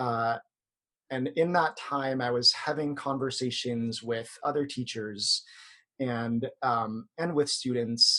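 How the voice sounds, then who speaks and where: A man with an American accent speaks very slowly in a bright, sharp tone. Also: medium pitch for a man, ordinary pitch variation. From US, Filipino American. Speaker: yoga instructor. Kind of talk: podcast interview. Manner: hesitant fillers.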